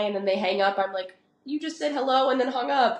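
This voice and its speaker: With a West Coast accent, the speaker rattles along at a very fast pace with lively intonation. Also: woman. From Oregon, US. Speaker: professional soccer player. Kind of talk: podcast interview. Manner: casual, conversational.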